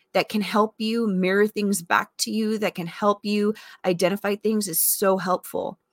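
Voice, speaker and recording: In a very clean recording with a silent background and a dry, close sound with no echo, a woman speaks at a moderate pace with medium pitch and an unremarkable speaking voice. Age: 40s. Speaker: wellness podcast host. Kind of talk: casual monologue. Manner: conversational with fillers.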